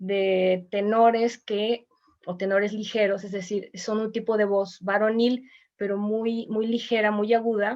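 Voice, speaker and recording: A woman's fairly high voice moves at a fairly slow pace, its intonation monotone and flat. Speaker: voice teacher and choir singer. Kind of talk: online mini class.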